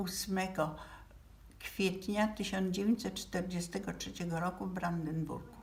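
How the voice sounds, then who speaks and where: Somewhat breathy, a woman speaks at a medium pitch with ordinary pitch variation and audible room echo. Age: 80s+. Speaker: relative of a Nazi victim. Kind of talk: memorial address. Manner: halting.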